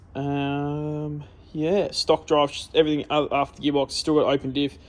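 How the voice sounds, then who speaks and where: Speaking with an Australian accent, a man has a fairly high pitch and a fairly slow pace. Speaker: car enthusiast. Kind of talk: casual talk to camera. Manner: mumbling, rambling.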